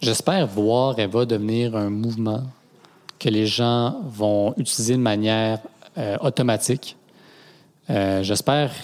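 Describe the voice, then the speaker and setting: A man speaks with fairly even intonation. His pitch is medium. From Quebec (Granby). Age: 20s. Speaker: cofounder of a ride-sharing cooperative. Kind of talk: interview.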